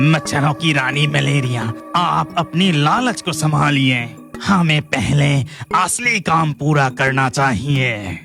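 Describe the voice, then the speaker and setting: A man's fairly high, cartoonish character voice at a fairly slow pace, with clear music in the background. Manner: deferential, servile.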